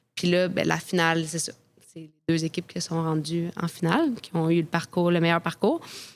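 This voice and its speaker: With a fairly low pitch and monotone, flat intonation, a woman speaks at a moderate pace with big swings in loudness. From Quebec, Quebec City. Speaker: professional soccer goalkeeper. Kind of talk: interview storytelling.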